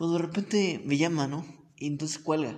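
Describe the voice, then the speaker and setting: Somewhat breathy, a man talks at a fairly quick pace. Room echo is audible. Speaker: podcast host. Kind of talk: casual chat.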